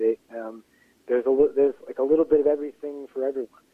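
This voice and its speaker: A man at a fairly high pitch with an American accent, at a very fast pace. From Pittsburgh area, western Pennsylvania. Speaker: playwright and actor. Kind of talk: interview. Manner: halting, many fillers.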